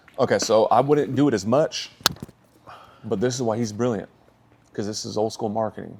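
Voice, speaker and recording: A man talks at a fairly quick pace with long, frequent pauses and an animated tone. His pitch is medium, and there is noticeable background noise. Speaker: sales coach and entrepreneur. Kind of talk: casual business coaching chat. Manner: loud.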